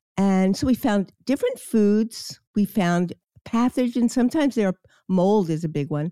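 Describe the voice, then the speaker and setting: In a dry, close sound with no echo, a woman with an American accent talks at a moderate pace, her dark, mellow tone marked by lively intonation. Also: medium pitch for a woman. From New York, Queens. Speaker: chiropractor. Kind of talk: interview.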